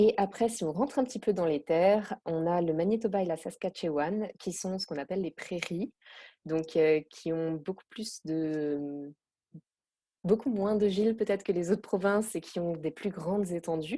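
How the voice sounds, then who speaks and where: A woman speaks with a dark, mellow tone and ordinary pitch variation. Her pace is moderate against a quiet background. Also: medium pitch for a woman. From France, Alsace. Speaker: expatriate interviewee. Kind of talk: podcast interview. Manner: hesitant, many fillers.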